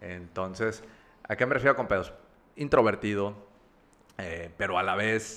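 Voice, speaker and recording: At a fairly slow pace with long, frequent pauses, a man speaks in a bright, sharp tone with ordinary pitch variation. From Mexico, Monterrey (with childhood in Campeche and Veracruz). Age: 30s. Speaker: recovered drug addict, advertising creative. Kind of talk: testimony.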